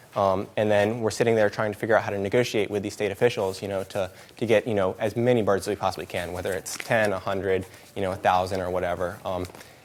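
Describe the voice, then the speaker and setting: There is noticeable background noise as a man speaks at a very fast pace. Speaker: animal sanctuary staff presenter. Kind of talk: presentation. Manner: hesitant, many fillers.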